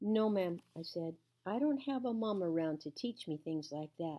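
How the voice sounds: The pitch moves in a lively way through a natural reading voice.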